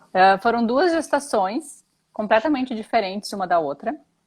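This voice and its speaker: In a very clean recording with a silent background, a woman speaks. Her pitch is fairly high. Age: 30s. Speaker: mother sharing pregnancy experiences. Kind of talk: interview testimony. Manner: halting.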